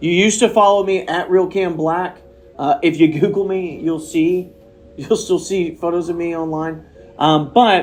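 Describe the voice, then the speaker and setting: With music in the background, a man with high pitch talks at a moderate pace with fairly even intonation. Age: 30s. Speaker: podcast host. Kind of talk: casual chat. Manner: rambling, lots of fillers.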